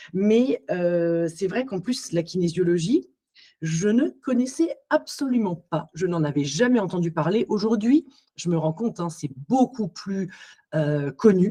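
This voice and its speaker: At a very slow pace, a woman with a medium pitch and a dark, mellow tone speaks in a somewhat breathy voice with lively intonation. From Alsace, France. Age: 40s. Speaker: psycho-body therapist. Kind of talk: podcast interview. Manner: hesitant, many fillers.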